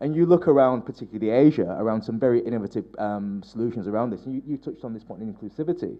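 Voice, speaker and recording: Very fast delivery from a man, medium in pitch, with ordinary pitch variation. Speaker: technology policy adviser, conference panelist. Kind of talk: panel discussion remarks. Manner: halting, many repetitions.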